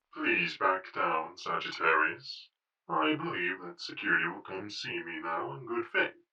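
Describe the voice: A man puts on a robotic character voice. He speaks at a moderate pace.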